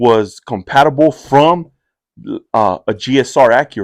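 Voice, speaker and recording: A man's medium-pitched, animated voice with ordinary pitch variation and an American accent. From East Los Angeles, Boyle Heights. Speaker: Marine war veteran. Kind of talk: casual chat. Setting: in-person podcast conversation. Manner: fast.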